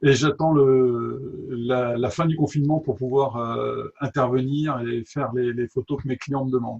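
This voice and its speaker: With a slight southern French accent, a man speaks at medium pitch in a somewhat breathy voice, going at a fairly slow pace with hardly any pauses and fairly even intonation. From southern France, Toulouse. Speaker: drone photographer. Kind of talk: interview. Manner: halting, many hesitations.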